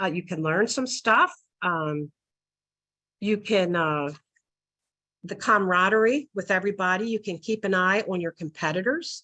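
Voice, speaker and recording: Pausing long and often, a woman speaks at moderate pace and medium pitch with ordinary pitch variation. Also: quiet background. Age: 60s. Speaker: retired asphalt sales professional. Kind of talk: webinar talk. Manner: hesitant, many fillers.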